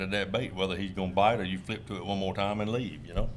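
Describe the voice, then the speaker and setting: Very fast speech in a South Carolina accent, fairly even intonation, and audible room echo. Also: man. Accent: US Southern, South Carolina. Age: 60s. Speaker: tournament crappie angler. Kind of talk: casual interview chat. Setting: fishing expo.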